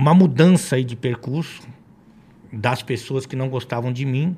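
A man's voice sits fairly high and comes out somewhat breathy. His pitch varies in an ordinary way. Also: very clean recording, silent background. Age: 40s. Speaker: football commentator and former futsal coach. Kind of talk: casual chat.

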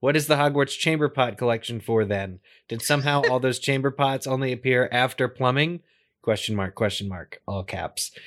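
In a very clean recording with a silent background, a man talks at a moderate pace in an ordinary speaking voice, medium in pitch with ordinary pitch variation. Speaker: podcast co-host. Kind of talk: casual chat.

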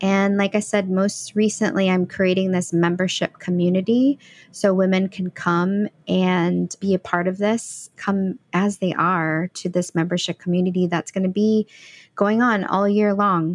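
An unremarkable speaking voice with an American accent, fairly slow and fairly even in intonation, at very even loudness, with a dry, close sound with no echo and a very clean recording against a silent background. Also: woman, medium pitch for a woman. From St. Louis, Missouri. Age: 40s. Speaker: empowerment coach. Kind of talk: interview conversation.

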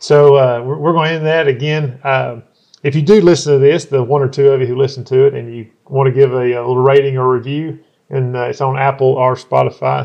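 A man's medium-pitched voice in a Southern US accent, fairly quick in pace with fairly even intonation. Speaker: podcast host. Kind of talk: casual chat.

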